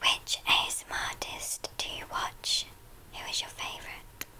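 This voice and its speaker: A woman whispers fairly slowly beneath noticeable background noise. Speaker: ASMR artist. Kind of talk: ASMR chit-chat answering viewer questions. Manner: whispered.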